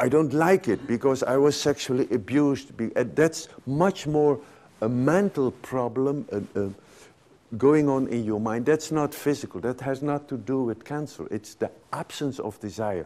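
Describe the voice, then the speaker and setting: This man speaks at a medium pitch with a Dutch accent. His tone is dark and mellow. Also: ordinary pitch variation, moderate pace. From Netherlands. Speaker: physician and sexologist. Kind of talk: lecture. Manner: halting.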